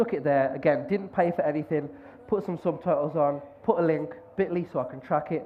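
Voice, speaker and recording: Over noticeable background noise, a man with a Birmingham accent talks fairly quickly in a high pitch. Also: ordinary pitch variation. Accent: Birmingham-area English. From West Midlands, England (near Birmingham). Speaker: conference speaker, podcaster. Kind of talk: conference talk. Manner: fast.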